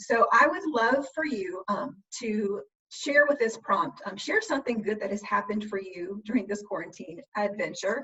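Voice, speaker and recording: Woman at a fairly high pitch with lively intonation and a moderate pace. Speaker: instructional coach, former middle school teacher. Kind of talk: webinar presentation. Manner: many fillers (um, uh).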